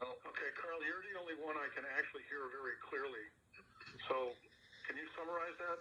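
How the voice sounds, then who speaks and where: Fairly quick but broken by long, frequent pauses, a man talks at a high pitch with ordinary pitch variation. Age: 60s. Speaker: farmer. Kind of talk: public meeting.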